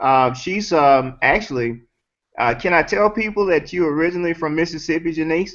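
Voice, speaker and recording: A man speaks at a moderate pace with a Southern accent. His pitch sits fairly high, with ordinary variation. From US South. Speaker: network marketing host. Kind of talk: casual chat. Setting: video call.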